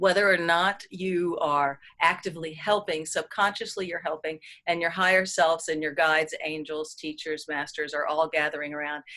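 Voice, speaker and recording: Fairly even intonation marks this bright, sharp-toned voice. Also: woman, fairly low pitch for a woman. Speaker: energy healer leading a group session. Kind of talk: live group healing session talk. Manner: fast; casual, many fillers.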